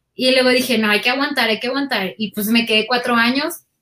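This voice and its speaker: Fairly quick speech carries ordinary variation in pitch. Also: woman. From Mexico, Sinaloa (Guasave, Culiacán). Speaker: audiovisual producer and video editor. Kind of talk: casual interview chat. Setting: video call.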